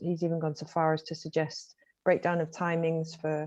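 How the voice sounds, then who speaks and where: A woman with a Mancunian accent speaks against a quiet background. Her fairly low voice has a dark, mellow tone and monotone, flat intonation. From Manchester, northern England. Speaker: games fund community manager. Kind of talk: online panel talk.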